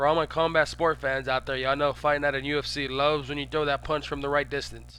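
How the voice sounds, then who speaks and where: A man rushes along at a very fast pace with hardly any pauses, over a quiet background. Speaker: live-stream commentator of boxing video game matches. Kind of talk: live commentary. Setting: live stream. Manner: casual, conversational.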